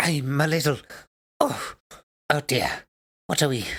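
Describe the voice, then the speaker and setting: This put-on character voice sits at a low-to-middle pitch. It comes out raspy. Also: moderate pace. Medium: actual play. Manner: urgent, breathless, clipped.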